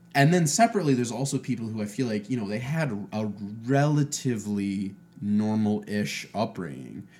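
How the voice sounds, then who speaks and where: Speaking with an American accent and an ordinary speaking voice, a man at a medium pitch talks at a fairly quick pace with lively intonation. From Ohio. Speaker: podcast guest, host's roommate. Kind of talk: casual chat.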